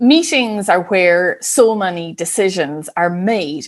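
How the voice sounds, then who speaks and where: An Irish accent marks this woman's speech. Her pitch is medium and her pace fairly slow. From Ireland. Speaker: business psychologist. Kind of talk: interview.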